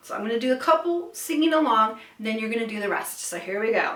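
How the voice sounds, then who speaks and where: A woman with a high pitch speaks against noticeable background noise. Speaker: vocal coach. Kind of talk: vocal lesson, instructional talk to camera. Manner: clear, friendly, instructive.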